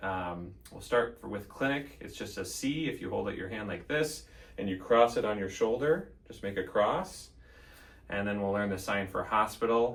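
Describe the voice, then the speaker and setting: Audible room echo surrounds a man with an American accent who speaks at a moderate pace in a fairly low pitch. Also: ordinary pitch variation. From Central Minnesota, Elk River. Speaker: physician assistant. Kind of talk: interview monologue; tutorial. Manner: frequent fillers (um).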